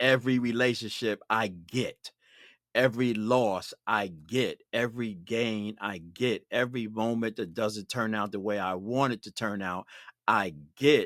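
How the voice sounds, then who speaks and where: A man with an American accent speaks in an ordinary speaking voice at medium pitch, fairly slowly and with fairly even intonation. The recording is very clean with a silent background, dry and close with no echo. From Brooklyn, New York. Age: 60s. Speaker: podcast host. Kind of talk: podcast interview.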